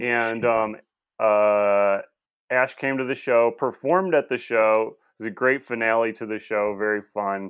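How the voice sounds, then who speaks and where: Pitch varies in an ordinary way. Overall, it is a plain, everyday voice. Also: man, medium pitch for a man, fairly slow pace. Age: 40s. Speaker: podcast guest, comedy podcaster. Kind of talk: casual chat.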